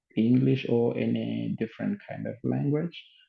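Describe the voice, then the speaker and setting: With a Portuguese accent, a man speaks at a very deep, low pitch in very wide swings. Music plays in the background. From Mozambique. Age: 30s. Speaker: English teacher. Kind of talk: lecture. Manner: halting with many fillers.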